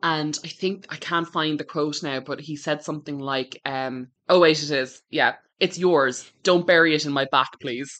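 Over a quiet background, a woman with an Irish accent speaks at a moderate pace with hardly any pauses, her very deep, low voice holding fairly even intonation. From Ireland. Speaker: book podcast co-host. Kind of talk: casual chat.

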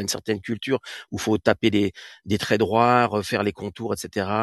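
Against a quiet background, a man with an ordinary speaking voice and fairly low pitch is heard in a dry, close sound with no echo. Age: 40s. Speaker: artist. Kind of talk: interview. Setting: live audio room.

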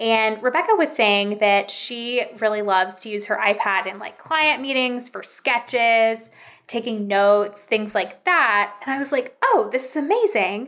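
At a fairly slow pace and with hardly any pauses, a woman uses a normal speaking voice with a fairly high pitch and ordinary pitch variation. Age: 30s. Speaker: interiors content creator. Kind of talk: casual chat.

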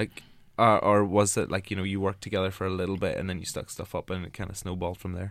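In a Northern Irish accent, a man talks at a very fast pace in a very deep, low pitch with monotone, flat intonation. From Northern Ireland. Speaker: podcast host. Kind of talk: casual interview. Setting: studio.

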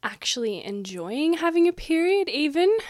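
Someone speaks with an Australian accent. The intonation is lively. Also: woman, very clean recording, silent background. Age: 20s. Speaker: podcast host, dietitian and sexologist. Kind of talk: solo podcast monologue. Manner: casual, chatty.

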